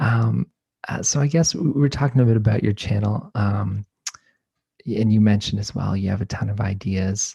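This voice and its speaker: A soft-spoken man with a fairly low pitch and a dark, mellow tone talks at a fairly quick pace, somewhat breathy. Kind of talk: interview question.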